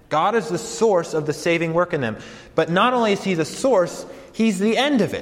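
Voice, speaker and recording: A man with an American accent and very wide pitch swings, over noticeable background noise. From Colorado. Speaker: campus pastor. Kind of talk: sermon; welcome talk to students. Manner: casual, hesitant with fillers.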